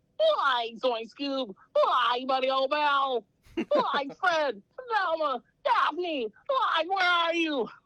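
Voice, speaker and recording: A woman puts on a character voice, pitched high and delivered very slowly. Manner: panicked, calling out.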